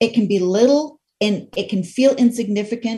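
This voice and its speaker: A woman with an American accent speaks at a fairly slow pace and fairly high pitch. Her voice is somewhat breathy, with a dark, mellow tone. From Idaho. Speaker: radio host and life coach. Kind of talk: casual interview chat.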